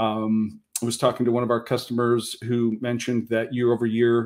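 A man speaks in a flat monotone against a quiet background. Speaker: speaker. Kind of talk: panel presentation. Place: home room. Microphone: webcam.

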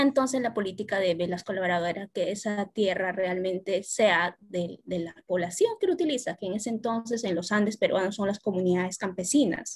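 At a moderate pace with hardly any pauses, a woman of medium pitch speaks with ordinary pitch variation over a quiet background. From Peru. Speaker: workshop participant. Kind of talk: audience question. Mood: calm, reflective. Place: home room. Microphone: video call.

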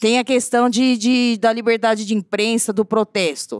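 A woman speaks at a moderate pace with a fairly high pitch. The sound is dry with no echo, over a quiet background. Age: 40s. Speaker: teacher, audience member; audience member. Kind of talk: audience question. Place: hall. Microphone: handheld.

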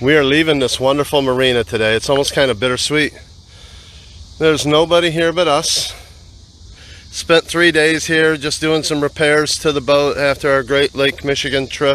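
A man speaks with fairly even intonation at a moderate pace, the sound dry with no echo. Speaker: boat owner vlogger. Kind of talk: casual vlog chat. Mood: relaxed, cheerful. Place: boat. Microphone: phone near.

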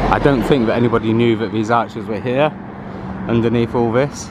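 A man speaks in a dry recording with no echo. Noticeable background noise can be heard. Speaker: local history vlogger. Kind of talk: casual vlog commentary. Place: street. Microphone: phone near.

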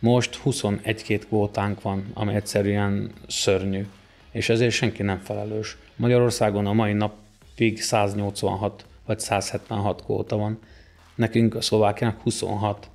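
Here a man talks at a very slow pace. His pitch is fairly low and his intonation monotone and flat. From southern Slovakia. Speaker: wrestling club president and coach; guest. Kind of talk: interview. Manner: halting, with many repeated words. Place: home room. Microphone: studio mic.

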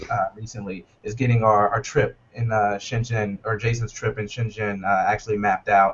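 The speech comes in an American accent with monotone, flat intonation. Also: man. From US South, North Carolina. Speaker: startup co-founder. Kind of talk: interview. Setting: video call. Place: office. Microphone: video call.

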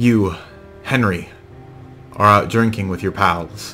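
A natural voice reading aloud

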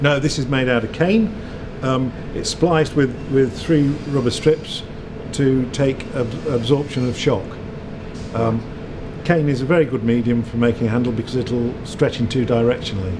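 A man speaks with long, frequent pauses and ordinary pitch variation. Noticeable background noise runs underneath. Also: moderate pace. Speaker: factory guide. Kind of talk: explanatory tour talk. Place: factory.

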